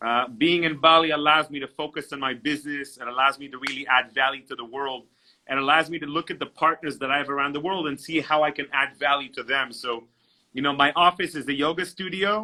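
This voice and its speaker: Fairly even intonation and big swings in loudness from a man with a fairly high pitch at a very fast pace. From Israel, then moved between countries from age ten. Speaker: entrepreneur and networking coach. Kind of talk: interview.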